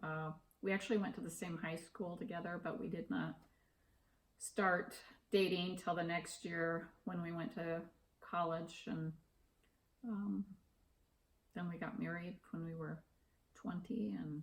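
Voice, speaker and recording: Somewhat breathy and fairly low in pitch, a woman speaks with ordinary pitch variation and long, frequent pauses. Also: fairly slow pace. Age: 60s. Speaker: interviewee, retiree. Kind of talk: interview. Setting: at home.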